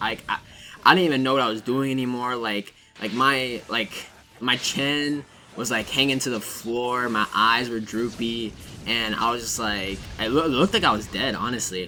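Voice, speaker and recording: Music in the background behind a man at a medium pitch and moderate pace, his pitch varying in an ordinary way. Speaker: gaming youtuber. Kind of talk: casual gameplay commentary. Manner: stuttering; casual, rambling filler words.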